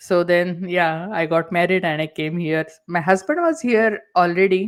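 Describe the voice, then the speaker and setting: A woman speaks with an Indian accent. Her intonation stays fairly even. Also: fairly low pitch for a woman, moderate pace. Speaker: entrepreneur. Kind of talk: interview. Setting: talk show.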